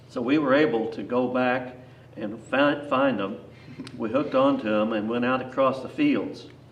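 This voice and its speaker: Moderately paced speech with fairly even intonation and noticeable background noise. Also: man, medium pitch for a man. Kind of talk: storytelling, casual reminiscence.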